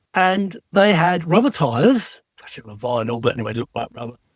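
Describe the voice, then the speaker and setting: Speaking at a fairly quick pace in an English accent, a man with a high pitch makes very wide pitch swings in a dry, close sound with no echo. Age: 70s. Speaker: retired TV special effects designer. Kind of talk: casual interview.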